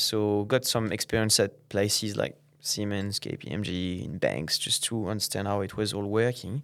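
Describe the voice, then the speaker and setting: A man's fairly low voice with a French accent, fairly even intonation and a moderate pace, on a very clean recording with a silent background. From France, Normandy. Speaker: tech company founder. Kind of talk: podcast interview. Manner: halting, many fillers.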